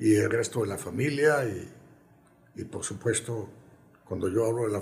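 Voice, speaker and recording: A man speaks at a moderate pace with a medium pitch, ordinary pitch variation and vocal fry. Audible room echo surrounds his voice. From Colombia. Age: 80s+. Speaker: former football club president. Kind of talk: interview. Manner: halting.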